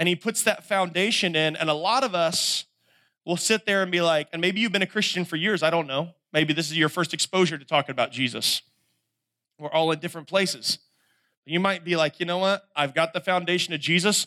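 With a Southern US accent, a man speaks at a fairly quick pace in a high pitch, his bright, sharp tone showing ordinary pitch variation in a dry, close sound with no echo. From North Carolina. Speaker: camp speaker. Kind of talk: sermon. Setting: stage with audience.

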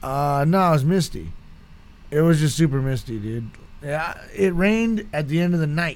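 A man at a fairly high pitch and a moderate pace, with lively intonation. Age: 30s. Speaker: podcast guest, host's brother. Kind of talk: casual chat. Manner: animated.

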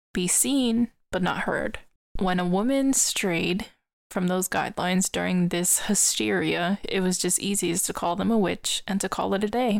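On a very clean recording with a silent background, an unremarkable speaking voice moves at a moderate pace with very even loudness and ordinary pitch variation. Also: woman, medium pitch for a woman. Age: 20s. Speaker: podcast host, storyteller. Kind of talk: storytelling podcast monologue.

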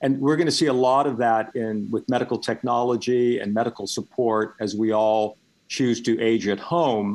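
Against a quiet background, a man with an ordinary speaking voice and medium pitch talks at a moderate pace with fairly even intonation and hardly any pauses. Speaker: author and former publishing executive. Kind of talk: radio interview. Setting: radio studio or phone-in.

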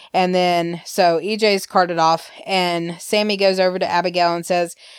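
A woman with an Alabama accent speaks at a medium pitch. Her pace is fairly slow and her intonation fairly even. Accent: Southern US (Alabama). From US South, Alabama. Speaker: podcast co-host. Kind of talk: casual chat, soap opera recap.

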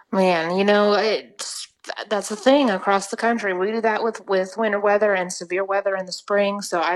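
Hardly pausing, a woman speaks in an ordinary speaking voice at medium pitch, with fairly even intonation and a moderate pace. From Oklahoma. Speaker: weather podcast co-host, meteorology student. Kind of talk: casual chat.

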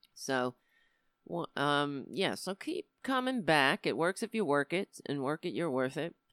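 In a New York accent, a woman speaks at a very deep, low pitch with very wide pitch swings. The sound is dry and close with no echo, on a very clean recording with a silent background. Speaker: comedian and political show host. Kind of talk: live-streamed political commentary show. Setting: live stream. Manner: animated.

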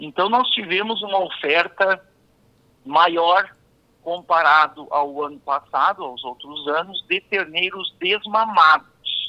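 Very slow speech in a dry, close sound with no echo. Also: man, high pitch for a man, ordinary pitch variation. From southern Brazil, Rio Grande do Sul. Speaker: veterinarian and livestock auctioneer. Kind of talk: radio interview. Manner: halting.

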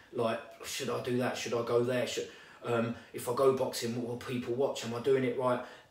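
Noticeable background noise and audible room echo surround the recording. A man speaks at a medium pitch in a monotone, flat intonation. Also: moderate pace. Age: 30s. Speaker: boxing coach. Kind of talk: casual chat.

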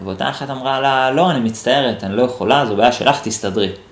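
A man of medium pitch talks at a fairly quick pace amid noticeable background noise and audible room echo. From Israel, Holon. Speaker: NLP teacher and podcast host. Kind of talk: solo podcast monologue answering listener questions. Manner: thinking aloud, with hesitations.

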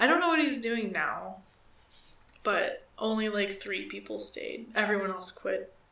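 A woman is talking at a moderate pace. Noticeable background noise runs under her voice. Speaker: podcast co-host. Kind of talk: casual chat, crude humor. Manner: joking, profane.

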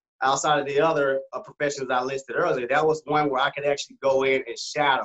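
The man talks at a very fast pace with an American accent. His pitch runs fairly high. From Arkansas, US South. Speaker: optometrist. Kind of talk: casual chat.

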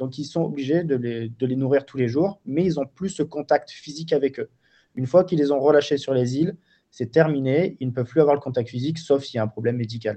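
Here a man speaks at a fairly quick pace with a fairly high pitch. His tone is dark and mellow, and his pitch varies in an ordinary way. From Marseille, southern France. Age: 30s. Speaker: wildlife photographer and filmmaker. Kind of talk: interview. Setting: remote call.

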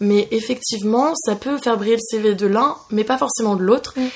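Her pitch fairly high and ordinary in its variation, a woman talks in an unremarkable speaking voice. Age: 20s. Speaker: podcast host. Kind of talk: casual chat. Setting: recording over coffee.

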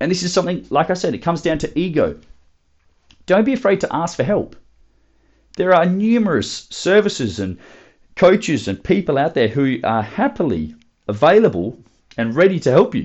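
A man with an Australian accent, high in pitch, with very wide pitch swings, a moderate pace and long, frequent pauses. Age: 20s. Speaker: podcast host, fitness coach. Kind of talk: solo motivational talk.

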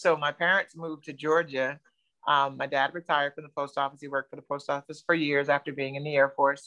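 A woman with an American accent talks very fast in a very deep, low voice with a bright, sharp tone, monotone intonation and big swings in loudness, the sound dry and close with no echo. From New Jersey. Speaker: keto dieter sharing weight loss story. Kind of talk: testimony.

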